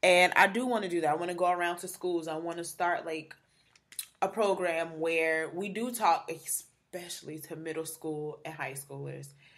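A plain, everyday voice with fairly even intonation, big swings in loudness and a moderate pace. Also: woman, fairly low pitch for a woman. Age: 20s. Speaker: podcast host, blogger in PR. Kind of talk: casual chat.

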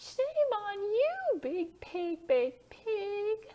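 With an extremely high pitch, a woman performs a cartoonish character voice. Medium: puppet.

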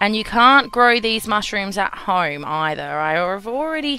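In an Australian accent, a woman of medium pitch speaks at a fairly slow pace over noticeable background noise. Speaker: gaming YouTuber. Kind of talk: let's play gameplay commentary. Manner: casual, chatty.

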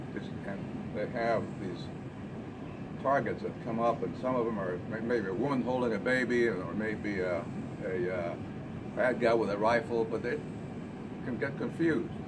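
A man at a moderate pace with long, frequent pauses, over loud background noise. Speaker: Vietnam War veteran, retired army colonel. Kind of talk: group discussion remarks. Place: cafe. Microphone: handheld.

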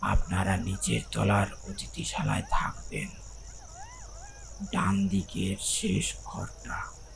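Amid noticeable background noise, a man speaks at a very slow pace in a put-on character voice. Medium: read story. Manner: impassive, flat.

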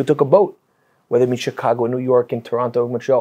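Here a man speaks with a Canadian accent at a medium pitch and a fairly quick pace. His tone is dark and mellow, with ordinary pitch variation. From Canada. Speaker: rabbi. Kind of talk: casual chat. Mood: reverent, admiring. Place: studio. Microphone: lapel.

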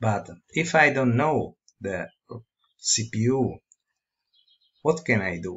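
With an Italian accent, a man speaks at a very slow pace with lively intonation and long, frequent pauses. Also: medium pitch for a man. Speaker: tutorial presenter. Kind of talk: tutorial. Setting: screen recording. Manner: halting.

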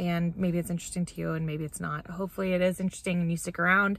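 This woman's voice sits at a fairly low pitch with fairly even intonation. The sound is dry, with no echo. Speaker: vlogger. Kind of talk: casual vlog chat. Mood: relaxed, cheerful. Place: car. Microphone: phone near.

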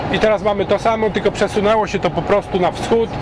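A man at a moderate pace, in a dry sound with no echo and with noticeable background noise. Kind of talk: casual vlog chat. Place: car. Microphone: camera far.

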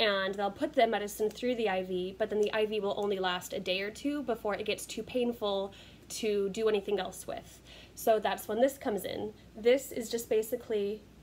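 Light background noise sits under a woman speaking at a moderate pace, her pitch varying in an ordinary way. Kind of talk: casual vlog chat. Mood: cheerful, laughs at herself. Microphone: phone near.

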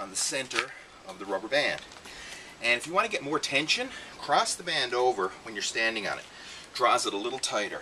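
A man talking fairly fast with big swings in loudness, over noticeable background noise. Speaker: fitness trainer. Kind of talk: tutorial. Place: garden.

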